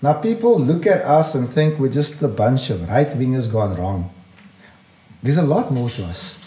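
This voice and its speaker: A man speaks in a dark, mellow tone that is somewhat breathy. His pitch swings very widely. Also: medium pitch for a man. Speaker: community activist and political party leader. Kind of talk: impassioned podcast interview. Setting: studio. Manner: fast; animated.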